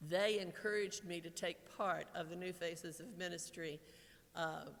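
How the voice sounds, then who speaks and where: Moderate pace and fairly even intonation, with audible room echo. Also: woman. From Kentucky, Lexington. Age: 60s. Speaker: retiring pastoral associate. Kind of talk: farewell speech. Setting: church. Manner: halting.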